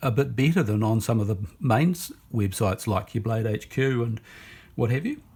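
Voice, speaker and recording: This man has a New Zealand accent. His voice carries vocal fry. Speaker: knife reviewer. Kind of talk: casual product review. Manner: halting, many fillers.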